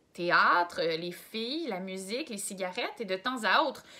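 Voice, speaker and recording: A woman speaks at a fairly slow pace with very wide pitch swings, with noticeable background noise behind her. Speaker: volunteer reader. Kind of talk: reading aloud.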